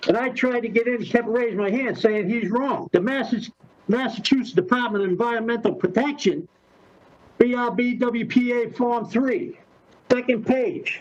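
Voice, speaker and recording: At a moderate pace, a man speaks with an extremely high pitch and ordinary pitch variation. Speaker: resident addressing city council. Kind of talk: public comment. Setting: video call. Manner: halting; loud. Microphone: muffled by face mask.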